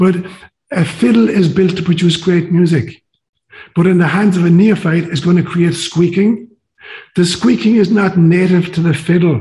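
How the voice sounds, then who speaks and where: A man with an Irish accent speaks at a high pitch in a dark, mellow tone, at a moderate pace with ordinary pitch variation and very even loudness. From Ireland. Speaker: priest and psychologist, interview guest. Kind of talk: interview conversation, storytelling.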